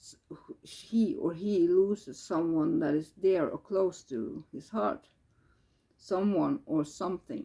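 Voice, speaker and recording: A very slow pace in a Norwegian accent. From Norway. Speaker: tarot reader. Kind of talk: tarot reading. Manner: halting.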